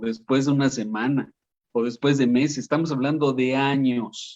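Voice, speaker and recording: A man speaks at a moderate pace in a fairly high voice. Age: 60s. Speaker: talk show host. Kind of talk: panel discussion. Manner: halting.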